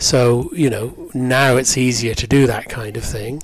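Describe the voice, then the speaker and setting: A man with an English accent speaks at a medium pitch, his voice somewhat breathy. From England, Cheltenham area (West Country). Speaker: theatre director. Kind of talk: interview.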